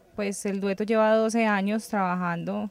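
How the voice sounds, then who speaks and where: Woman with a normal speaking voice, medium pitch and fairly even intonation, in a dry sound with no echo. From Colombia. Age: 20s. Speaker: singer. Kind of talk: interview. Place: street. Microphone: handheld.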